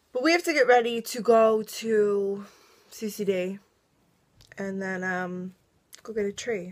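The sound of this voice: At a fairly slow pace, a woman speaks with a medium pitch and ordinary pitch variation.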